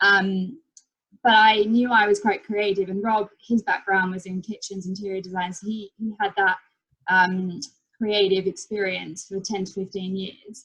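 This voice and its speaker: A woman speaks at a moderate pace and medium pitch in an Australian accent. Her intonation is monotone and flat, with big swings in loudness. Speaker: property investor and designer. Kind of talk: casual interview. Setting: video call.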